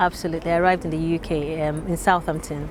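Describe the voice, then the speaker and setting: A woman talks at a fairly quick pace with a Yoruba accent. Noticeable background noise can be heard. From Nigeria (Lagos). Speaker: interviewee, migrant. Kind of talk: interview testimony. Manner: hesitant, many fillers.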